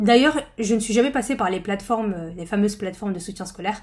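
Speaking in a normal speaking voice, a woman moves at a fairly quick pace with lively intonation. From northern France. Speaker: podcast host and study-skills trainer. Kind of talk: personal storytelling monologue. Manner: casual, conversational.

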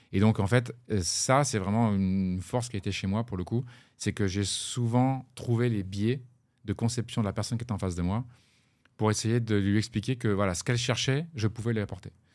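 In a very clean recording with a silent background, a man speaks at a moderate pace, fairly low pitch and fairly even intonation. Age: 40s. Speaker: blockchain startup co-founder, former plumber. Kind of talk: interview. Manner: halting, many repetitions.

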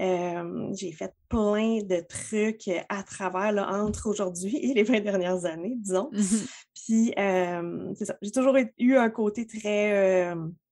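A woman speaks at medium pitch with a Quebec accent. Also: ordinary pitch variation. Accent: Québécois French. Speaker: entrepreneur, web marketing strategist. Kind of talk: casual chat. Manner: animated.

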